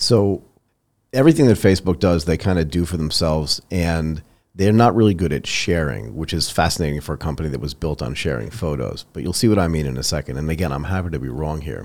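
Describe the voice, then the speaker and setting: A man's very deep, low voice at a very fast pace, with lively intonation and vocal fry. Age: 50s. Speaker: podcast host. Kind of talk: interview. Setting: video call.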